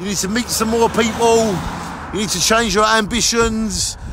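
A man speaks in a raised, projected voice. The sound is dry with no echo, and background noise is noticeable. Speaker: vlogger. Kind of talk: opinion rant vlog. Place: street. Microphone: phone near.

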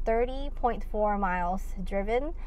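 A woman speaks with ordinary pitch variation over light background noise, the sound dry with no echo. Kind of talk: casual vlog chat. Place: car. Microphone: phone near.

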